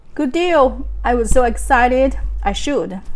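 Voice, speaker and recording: Pitch varies in an ordinary way, in a non-native accent. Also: woman. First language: not English. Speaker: real estate agent. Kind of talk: vlog monologue. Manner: halting.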